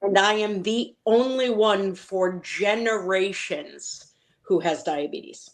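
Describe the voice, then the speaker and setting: Speaking very slowly with an American accent, a woman uses ordinary pitch variation. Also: medium pitch for a woman. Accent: Boston accent, said to be strong but hidden. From Boston, Massachusetts. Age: 40s. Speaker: patient advocate. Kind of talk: interview.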